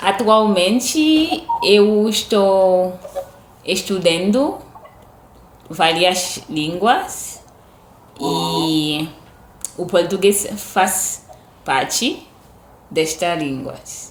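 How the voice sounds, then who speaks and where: With audible room echo around her, a woman of medium pitch speaks at a very slow pace with lively intonation and long, frequent pauses. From Haiti. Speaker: language learner. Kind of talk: casual chat.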